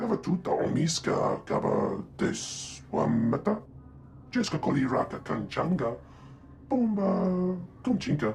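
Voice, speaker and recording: A man puts on a character voice pitched high, speaking at a fairly slow pace over clear background noise. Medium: video game.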